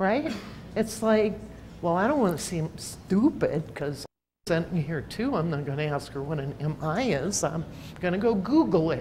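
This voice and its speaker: At a moderate pace, a somewhat breathy voice with a dark, mellow tone swings very widely in pitch, and room echo can be heard. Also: woman. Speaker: researcher presenting at a healthcare conference. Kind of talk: conference presentation. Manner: animated.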